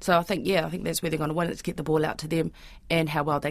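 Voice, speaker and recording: A woman with a New Zealand accent, very deep and low in pitch, with vocal fry and a monotone, flat intonation. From Auckland, New Zealand. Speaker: freelance sports broadcaster. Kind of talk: casual chat.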